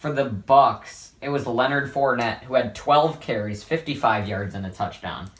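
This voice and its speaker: A somewhat breathy man's voice at medium pitch, with ordinary pitch variation, a moderate pace, and hardly any pauses. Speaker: sports vlogger. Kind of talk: sports analysis vlog. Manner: casual, rambling with fillers.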